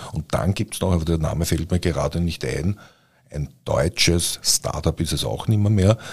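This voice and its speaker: A man's very deep, low voice with vocal fry and ordinary pitch variation at a moderate pace, on a very clean recording with a silent background. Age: 60s. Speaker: podcast host, publisher. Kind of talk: casual chat. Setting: studio.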